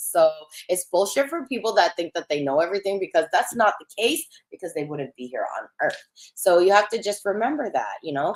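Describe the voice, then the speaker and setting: A woman's medium-pitched voice at a moderate pace, with very wide pitch swings, big swings in loudness and a dry, close sound with no echo. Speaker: psychic medium livestream host. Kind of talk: live stream chat reading viewer comments. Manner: casual, filler-heavy.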